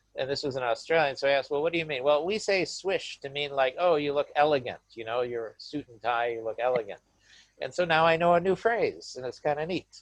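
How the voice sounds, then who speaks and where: Talking at a fairly quick pace, a man with a Midwestern US accent uses a fairly high pitch and ordinary pitch variation. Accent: American Midwestern English. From US Midwest, Michigan. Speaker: university lecturer. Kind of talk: webinar talk. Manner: hesitant, repeats words.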